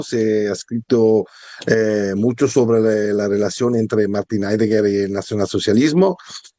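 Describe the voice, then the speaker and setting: A man's fairly low, dark, mellow voice with an Italian accent. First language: Italian (speaking Spanish). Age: 50s. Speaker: historian and philosophy author. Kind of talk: interview. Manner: halting, many hesitations.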